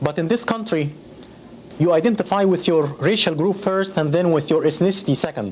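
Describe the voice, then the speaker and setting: A man with an Arabic accent, high-pitched, at a fairly quick pace, with ordinary pitch variation, very even loudness and noticeable background noise. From Egypt. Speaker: educator, interviewee. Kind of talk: interview testimony. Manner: halting.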